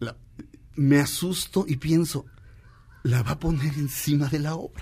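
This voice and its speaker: A man with an animated tone at a moderate pace. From Mexico. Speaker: radio host. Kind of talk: casual chat.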